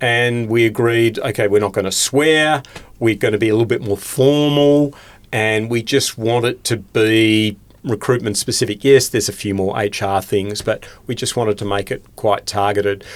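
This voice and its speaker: Here a man speaks with an Australian accent. His pace is moderate and his pitch medium. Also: fairly even intonation. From Tasmania, Australia (Hobart). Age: 60s. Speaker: recruitment trainer and industry commentator. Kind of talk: podcast interview.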